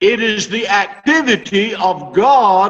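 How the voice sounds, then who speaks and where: Speaking at a very slow pace, a man talks in a high pitch. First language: English (speaking Spanish). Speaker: Bible teacher. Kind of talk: sermon.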